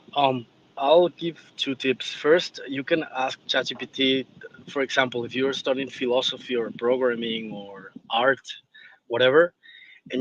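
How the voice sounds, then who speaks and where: At a moderate pace, a man speaks with a medium pitch. His intonation is fairly even. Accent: non-native. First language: not English. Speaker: audience speaker. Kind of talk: panel discussion on X space. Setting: online audio space.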